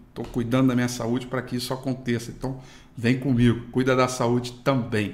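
A man's medium-pitched voice at a fairly quick pace, monotone with flat intonation, with audible room echo. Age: 30s. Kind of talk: daily market news broadcast. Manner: casual, filler-heavy.

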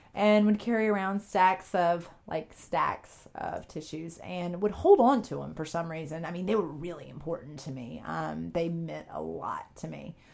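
In a Southern US accent, the speaker keeps a moderate pace with hardly any pauses. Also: woman. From US South, upstate South Carolina. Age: 30s. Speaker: sports podcast host. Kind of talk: casual chat. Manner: hesitant, many fillers.

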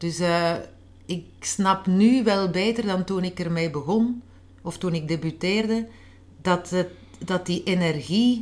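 A woman talks at a very slow pace with ordinary pitch variation. Her pauses are long and frequent. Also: medium pitch for a woman. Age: 40s. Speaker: author. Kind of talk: interview. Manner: halting.

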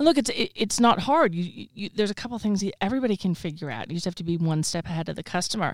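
Talking at a very fast pace with hardly any pauses, a woman with an American accent uses lively intonation. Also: medium pitch for a woman. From Texas. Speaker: social media consultant. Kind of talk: casual interview. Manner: confident, opinionated.

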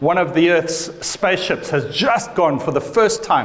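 There is noticeable background noise as a man speaks. His intonation is lively and his pace fairly slow. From Africa. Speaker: pastor. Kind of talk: sermon. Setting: church.

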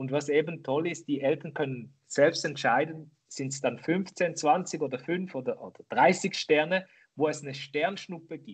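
In an ordinary speaking voice, a man talks at a fairly slow pace with fairly high pitch, ordinary pitch variation and big swings in loudness. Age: 40s. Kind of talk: interview. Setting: remote call.

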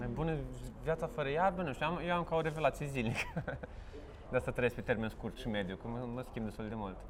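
The man has a normal speaking voice at medium pitch. He talks at a fairly quick pace with lively intonation. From Romania, Vaslui (Moldavia region). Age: 30s. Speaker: stand-up comedian. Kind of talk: casual interview.

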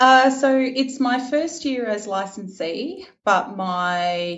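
In an Australian accent, the speaker's pitch swings very widely, with audible echo in the room. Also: woman. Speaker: event organizer. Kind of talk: interview.

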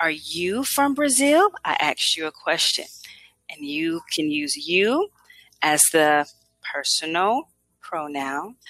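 The voice moves at a very slow pace, with long, frequent pauses and very wide pitch swings. Its tone is bright and sharp, and the sound is dry and close with no echo. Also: woman, fairly low pitch for a woman. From USA. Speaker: English tutor. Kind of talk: language lesson.

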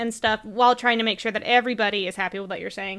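A woman speaks at a fast pace, her bright, sharp tone also clear and smooth.

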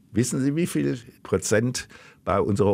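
In a very clean recording with a silent background, a man speaks at a moderate pace and medium pitch with vocal fry and very wide pitch swings. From Germany, Cologne. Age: 70s. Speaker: political science professor. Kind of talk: interview.

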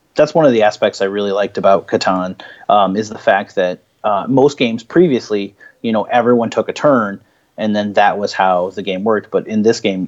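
Speaking very fast in an American accent, a man is heard over a quiet background. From Illinois, US Midwest. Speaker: board game store owner. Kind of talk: casual chat.

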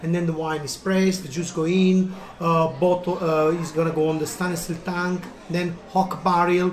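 With an Italian accent and an enthusiastic tone, a man speaks at a high pitch over noticeable background noise. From Italy, Naples. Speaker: restaurant owner. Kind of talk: interview.

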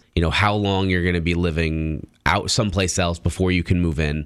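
A man with a very deep, low voice speaks at a fairly quick pace with ordinary pitch variation. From Italian-American background. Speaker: radio co-host. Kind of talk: casual radio chat. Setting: radio studio. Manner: hesitant, frequent repetitions.

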